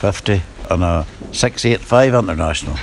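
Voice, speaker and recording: A fairly low-pitched man with a Northern Irish accent, fairly slow, with ordinary pitch variation and noticeable background noise. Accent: Northern Irish (Ulster Scots, Antrim). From Northern Ireland, County Antrim. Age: 80s+. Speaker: farmer. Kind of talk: casual interview.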